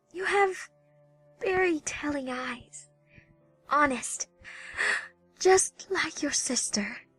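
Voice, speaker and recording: A female-sounding voice puts on a raspy, high-pitched character voice at a very slow pace. Long, frequent pauses break it up over faint music in the background. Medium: audio drama. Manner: soft, halting.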